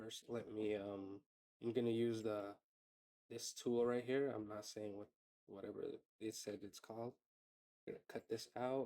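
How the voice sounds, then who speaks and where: Quiet and dark, mellow in tone, a man at a medium pitch speaks at a moderate pace in a flat monotone, with long, frequent pauses. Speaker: tutorial creator. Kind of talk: tutorial. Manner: casual, filler-heavy.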